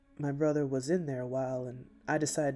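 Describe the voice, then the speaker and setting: A man's voice with fairly even intonation over background music. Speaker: story narrator. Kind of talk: scripted storytelling narration.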